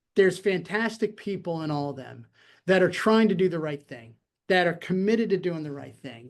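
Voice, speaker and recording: A high-pitched man with lively intonation and big swings in loudness, at a fairly quick pace against a quiet background. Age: 60s. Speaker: retired air force colonel and security institute director. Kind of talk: interview conversation. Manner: halting, many fillers.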